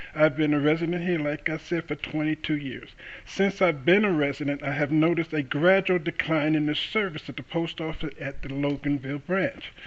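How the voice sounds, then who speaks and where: A man with an American accent speaks in a plain, everyday voice at a fairly high pitch. His pace is fairly quick, with hardly any pauses and fairly even intonation. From New York City. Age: 60s. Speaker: defendant in court. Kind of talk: courtroom testimony. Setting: courtroom.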